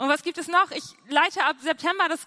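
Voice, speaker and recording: A woman speaks in a raised, projected voice. Her tone is bright, sharp and animated. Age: 20s. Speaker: youth pastor. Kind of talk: sermon.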